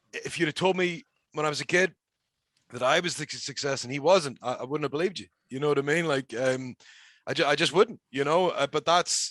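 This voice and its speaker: Against a quiet background, a man with a Northern Irish accent talks at a fairly quick pace, with a fairly high pitch, ordinary pitch variation, and a dry, close sound with no echo. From Northern Ireland. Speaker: professional wrestler. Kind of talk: casual chat.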